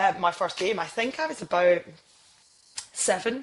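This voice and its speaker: At a moderate pace, a woman talks with a Scottish accent. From Scotland (Isle of Skye, Edinburgh, near Glasgow). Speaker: sports TV presenter. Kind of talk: podcast interview. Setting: podcast recording.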